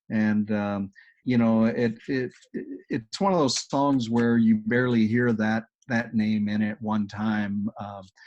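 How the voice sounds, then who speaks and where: A man with a strong Texas accent, medium pitch, a very slow pace and fairly even intonation, over a quiet background. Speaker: agile coach. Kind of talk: webinar presentation with Q&A.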